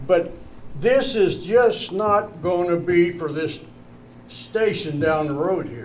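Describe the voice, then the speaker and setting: Lively intonation carries a Midwestern US accent amid audible room echo. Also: man. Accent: rural Midwestern US. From Indiana, Vermillion County area. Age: 70s. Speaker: public commenter. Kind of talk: public comment at meeting. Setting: county commissioners meeting. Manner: animated.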